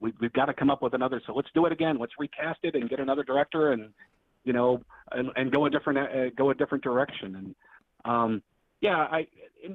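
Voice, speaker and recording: With an American accent, the speaker races along very fast. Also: man. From Texas, Dallas. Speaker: film critic. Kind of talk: casual chat. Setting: home basement office, remote.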